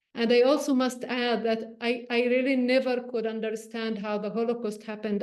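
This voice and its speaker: A woman with a Palestinian accent speaks at a moderate pace in a fairly high pitch. Her intonation is monotone and flat, and audible room echo surrounds her. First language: Arabic. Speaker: journalist and meditation teacher. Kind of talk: personal reflection talk. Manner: halting, with repetitions.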